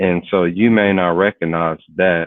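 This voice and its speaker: A man speaks with an American accent. His pitch is very deep and low, and his intonation fairly even. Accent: inner-city local speech pattern. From US inner city. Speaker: cyber security professional. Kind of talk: interview conversation.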